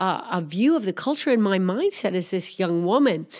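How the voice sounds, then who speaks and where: A woman's pitch swings very widely. The recording is very clean, with a silent background. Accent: American. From US Midwest (Missouri). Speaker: missionary pastor and aid worker. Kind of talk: interview testimony. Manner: halting, many fillers.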